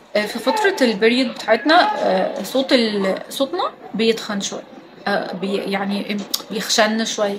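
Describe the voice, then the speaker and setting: A high-pitched woman's voice with lively intonation over noticeable background noise. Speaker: beauty and lifestyle vlogger. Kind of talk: casual advice talk. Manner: calm, soft-spoken; hesitant fillers.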